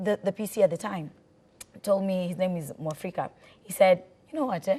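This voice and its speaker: A woman with a Kenyan accent speaks at a fairly quick pace in a medium pitch with ordinary pitch variation. Her voice is somewhat breathy with a dark, mellow tone and big swings in loudness. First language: Swahili. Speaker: radio presenter. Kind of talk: talk show interview.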